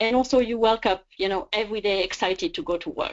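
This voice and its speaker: A woman with a French accent and lively intonation. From France. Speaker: career coach. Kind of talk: webinar presentation. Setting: online webinar.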